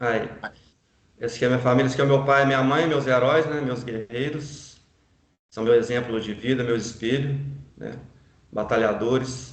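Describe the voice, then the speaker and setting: A man of medium pitch at a moderate pace, fairly even in intonation, with long, frequent pauses and audible room echo. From Brazil, Minas Gerais (Juiz de Fora). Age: 40s. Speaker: real estate broker. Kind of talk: life story testimony. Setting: online live stream.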